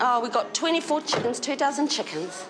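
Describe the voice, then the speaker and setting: Noticeable background noise sits behind a woman with a New Zealand accent speaking at a fairly quick pace. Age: 70s. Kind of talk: casual chat.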